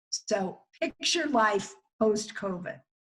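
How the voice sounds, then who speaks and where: Fairly high-pitched, somewhat breathy speech from a woman. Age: 60s. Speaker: psychologist. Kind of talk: webinar talk.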